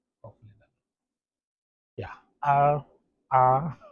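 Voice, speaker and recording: Somewhat breathy, a man talks at a fairly slow pace. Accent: Botswana. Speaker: language teacher. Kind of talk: tutorial. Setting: home, kids' play area. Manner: halting, repetitive.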